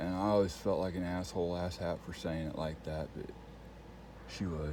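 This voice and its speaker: With audible room echo, a man speaks in a dark, mellow tone with fairly even intonation. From Texas Panhandle. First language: Spanish. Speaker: vlogger. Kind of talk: casual monologue. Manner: rambling with fillers.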